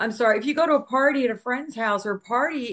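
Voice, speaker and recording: A woman speaks in a plain, everyday voice at a moderate pace, with ordinary pitch variation and a quiet background. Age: 60s. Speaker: podcast co-host. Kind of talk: casual chat.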